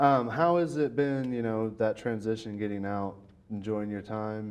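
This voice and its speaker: A man talks at a moderate pace with a slight Southern US accent. His pitch is fairly low, with ordinary variation. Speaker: podcast host, interviewer. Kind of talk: interview.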